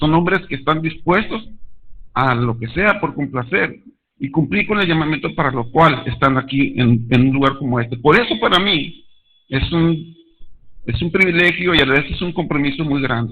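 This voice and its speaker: Audible room echo surrounds a man whose pitch is fairly high. He speaks at a moderate pace with lively intonation. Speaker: lay preacher. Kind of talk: sermon. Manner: halting.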